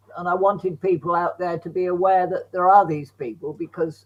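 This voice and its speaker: At a moderate pace, a man with an English accent speaks in a high voice with fairly even intonation. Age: 80s+. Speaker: bereaved father and campaigner. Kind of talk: interview.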